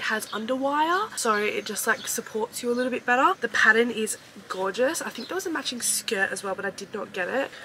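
With an Australian accent, the speaker has an upbeat tone and talks at a fairly quick pace over light background noise. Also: woman. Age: 20s. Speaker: fashion haul creator. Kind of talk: casual talk to camera, try-on haul. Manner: upbeat, chatty. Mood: upbeat, excited. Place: home room.

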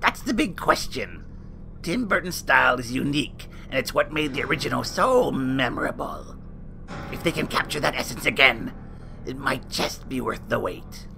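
A man's cartoonish character voice at a moderate pace, with loud background noise. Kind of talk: campy horror-host banter. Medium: puppet show. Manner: gossipy, catty, theatrical.

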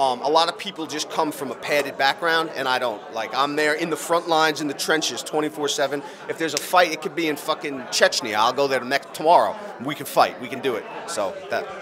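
With noticeable background noise behind him, a man talks at a fairly quick pace with ordinary pitch variation. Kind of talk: interview answer. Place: hall. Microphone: handheld.

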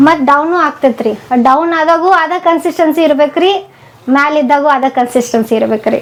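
A woman with a North Karnataka accent speaks in a high voice with ordinary pitch variation and very even loudness, over noticeable background noise. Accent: North Karnataka Kannada. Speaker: cooking YouTuber. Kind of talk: interview. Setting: her home.

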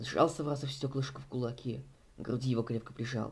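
A man speaks at a medium pitch and a fairly quick pace. His intonation stays fairly even.

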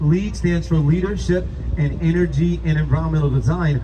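A man at a moderate pace against noticeable background noise. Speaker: boat tour guide. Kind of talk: tour guide commentary. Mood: upbeat, playful. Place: boat.

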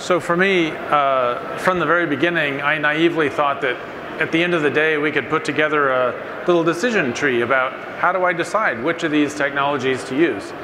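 Noticeable background noise runs under the recording. A man speaks at a fairly quick pace. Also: ordinary pitch variation. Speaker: panel moderator. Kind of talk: panel discussion remarks. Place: stage.

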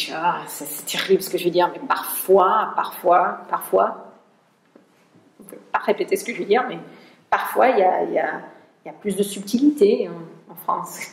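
Audible room echo surrounds a woman speaking at a medium pitch and a fairly slow pace. Her pitch varies in an ordinary way, her loudness swings widely, and she leaves long, frequent pauses. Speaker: school president and organizational consultant. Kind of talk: seminar talk. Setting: seminar room with audience. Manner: halting, repeats words. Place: classroom. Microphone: camera far.

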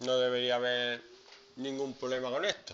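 A man talks at a fairly slow pace. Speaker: teacher. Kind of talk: classroom lesson explaining English grammar to students. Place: classroom.

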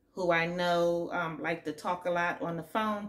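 A woman talks at a moderate pace in a fairly low voice. Her pitch varies in an ordinary way. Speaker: nursing student vlogger. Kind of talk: casual vlog chat. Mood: upbeat, laughs a little. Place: home room. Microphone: phone near.

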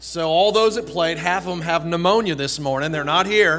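Against light background noise, a man talks in a high pitch with ordinary pitch variation. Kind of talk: church announcements. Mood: friendly, joking. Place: church. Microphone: podium.

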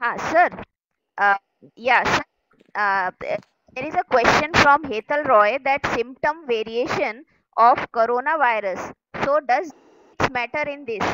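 A woman's bright, sharp, high-pitched voice at a fairly slow pace, with ordinary pitch variation, long, frequent pauses and a dry, close sound without echo. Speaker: webinar moderator. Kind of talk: Q&A moderation; reading aloud. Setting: video call.

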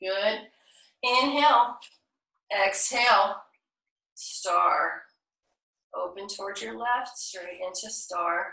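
A woman talks at a very slow pace, with long, frequent pauses and big swings in loudness. Her pitch is medium with ordinary variation, and her voice has vocal fry. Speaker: yoga instructor. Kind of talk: live-streamed yoga class instruction, cueing poses and breath. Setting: video call, live Zoom. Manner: calm, soothing, unhurried; encouraging, inclusive, with frequent pose cues.

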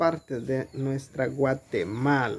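A man speaks over light background noise. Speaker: vlogger filming. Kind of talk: casual vlog chat. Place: home room.

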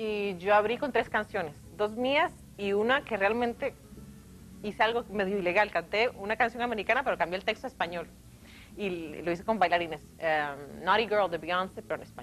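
A woman speaks at a fairly quick pace, with ordinary pitch variation and light background noise. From Costa Rica. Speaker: singer; guest. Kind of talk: interview; interview answer. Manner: halting. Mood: cheerful, animated. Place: studio. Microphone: lapel.

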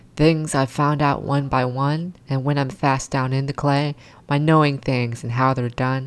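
A woman speaks with a very deep, low voice at a fairly slow pace. Her intonation stays fairly even. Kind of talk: poetry reading.

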